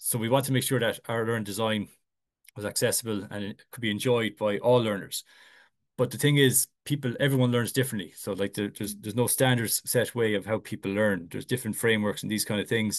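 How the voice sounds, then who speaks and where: Over a quiet background, a man talks very fast at a medium pitch with fairly even intonation. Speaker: instructional designer. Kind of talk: conference presentation. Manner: halting, many fillers and repetitions.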